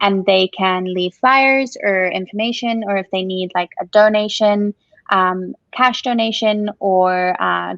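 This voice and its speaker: A woman speaks with a Zimbabwean accent and fairly even intonation. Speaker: coffee shop owner. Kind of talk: interview.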